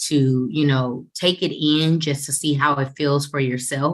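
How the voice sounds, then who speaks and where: Here a woman speaks. Her pitch is very deep and low. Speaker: financial services trainer. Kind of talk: training webinar. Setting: group call. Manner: fast; animated.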